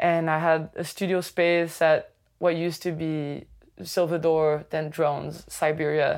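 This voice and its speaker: In a Quebec accent, a woman speaks fairly slowly in a flat monotone at a very deep, low pitch, on a very clean recording with a silent background. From Quebec City. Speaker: DJ and music producer. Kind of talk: interview. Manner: hesitant, filler-heavy.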